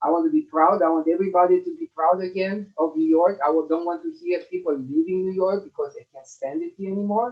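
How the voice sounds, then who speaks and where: Speaking at a fairly quick pace with a Romanian accent, a man uses a high pitch and fairly even intonation. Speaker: election candidate. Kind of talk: closing statement at candidates forum. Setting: video call. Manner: halting, many fillers.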